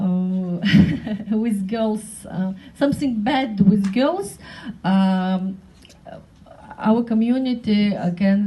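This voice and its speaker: A woman with a non-native accent, very slow in pace, her intonation fairly even. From North Caucasus. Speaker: women's rights activist. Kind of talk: panel speech. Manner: halting, many hesitations.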